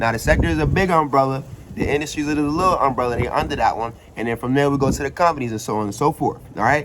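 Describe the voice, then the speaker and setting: Speech comes at a very fast pace with an animated tone and ordinary pitch variation over noticeable background noise. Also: man, fairly high pitch for a man. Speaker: finance YouTuber. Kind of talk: casual explainer tutorial. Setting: outdoors. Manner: casual, animated.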